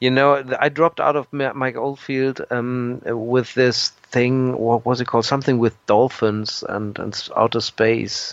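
A man with a German accent and monotone, flat intonation. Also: medium pitch for a man, fairly slow pace. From Germany. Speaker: progressive rock musician. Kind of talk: interview. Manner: halting, with repetitions and fillers.

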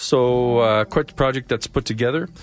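A man speaks with a Canadian accent at a medium pitch. The recording is very clean, with a silent background. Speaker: radio host. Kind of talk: live radio DJ patter introducing tracks. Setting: radio studio, live broadcast. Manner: chatty, warm, conversational.

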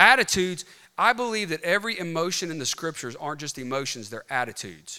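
A high-pitched man's voice with an American accent, a bright, sharp tone and very wide pitch swings. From US South, rural Mississippi. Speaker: clinical psychologist, conference speaker. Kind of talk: conference talk. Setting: stage with audience. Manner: animated.

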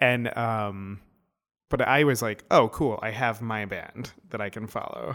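In a very clean recording with a silent background, a man with an ordinary speaking voice talks at a fairly slow pace, medium in pitch, with fairly even intonation. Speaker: podcast co-host. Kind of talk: casual chat.

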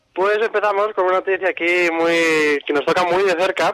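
Noticeable background noise sits behind a man with a high pitch. He keeps a moderate pace with ordinary pitch variation. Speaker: radio show collaborator presenting a segment. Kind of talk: casual chat on radio call-in segment.

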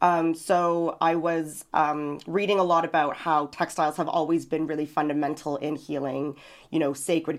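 This woman has a very deep, low voice with a Canadian accent, speaking fairly slowly in a flat monotone. The recording is very clean, with a silent background. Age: 30s. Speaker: visual artist. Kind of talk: interview. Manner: halting, many fillers.

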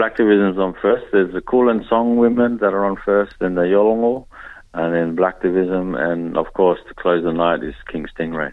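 In an Australian accent, a man speaks with a very deep, low pitch. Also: ordinary pitch variation, moderate pace. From Darwin, northern Australia (Papua New Guinea heritage). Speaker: musician and activist. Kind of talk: radio interview.

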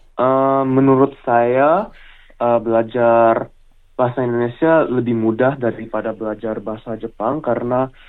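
Using a plain, everyday voice, a man speaks at medium pitch and a fairly slow pace with fairly even intonation. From Australia, Melbourne area. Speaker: recent high school graduate, language learner. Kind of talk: interview. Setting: phone call.

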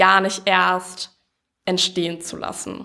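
A woman speaks at a very slow pace. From Allgäu, Bavaria (Kaufbeuren). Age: 20s. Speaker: student, startup project lead. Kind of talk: interview. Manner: many filler sounds (ähm).

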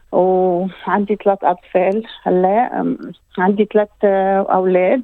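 Very slow, medium-pitched speech from a woman. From Lebanon. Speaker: community services director. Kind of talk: interview.

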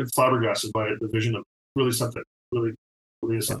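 A man's somewhat breathy voice comes through dry and close, with no echo. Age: 50s. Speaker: TV art director. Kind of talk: casual chat.

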